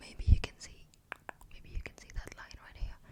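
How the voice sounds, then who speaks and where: Soft-spoken, a woman talks at a moderate pace in a dark, mellow tone. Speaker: ASMR creator. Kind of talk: ASMR makeup tutorial.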